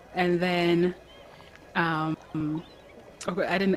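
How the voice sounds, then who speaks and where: Fairly low-pitched woman at a fairly slow pace, monotone and flat in intonation, over noticeable background noise. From Ghana. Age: 20s. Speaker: adopted daughter of host. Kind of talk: casual interview chat.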